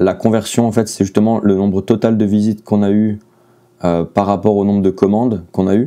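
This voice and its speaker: With a monotone, flat intonation, a man talks at a fairly low pitch in a dark, mellow tone. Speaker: artist and vlogger. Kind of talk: casual vlog. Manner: hesitant, many fillers.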